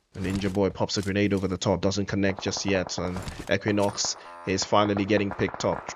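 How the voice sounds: Speaking at a moderate pace, a man uses a low pitch.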